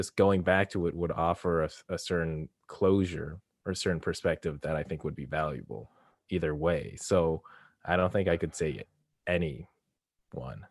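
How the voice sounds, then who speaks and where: Very deep and low, a man's voice with vocal fry comes through in a dry, close sound with no echo, broken by long, frequent pauses. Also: ordinary pitch variation, moderate pace, very clean recording, silent background. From Canada. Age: 20s. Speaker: podcast host. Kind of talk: casual chat.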